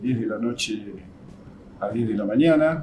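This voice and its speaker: A man speaks at a fairly slow pace with a medium pitch. Noticeable background noise and audible room echo are present. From Argentina, Buenos Aires province (Lincoln). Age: 70s. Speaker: physical trainer. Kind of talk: interview testimony.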